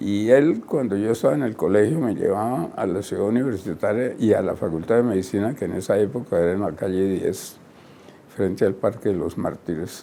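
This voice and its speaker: Here a man speaks with a dark, mellow tone at a fairly low pitch. His pace is fairly quick, with ordinary pitch variation. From Colombia. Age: 90s. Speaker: retired surgeon and professor. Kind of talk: interview. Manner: halting, many fillers.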